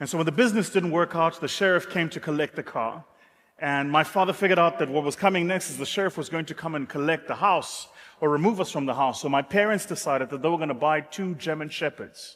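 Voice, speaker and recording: Talking very fast with a South African accent, a man has a fairly high pitch and ordinary pitch variation. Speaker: business speaker. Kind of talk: motivational talk.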